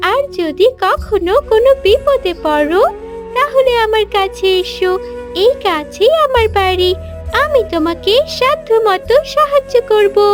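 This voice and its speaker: Extremely high-pitched cartoonish character voice at a very slow pace, with clear music in the background. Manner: warm, gentle.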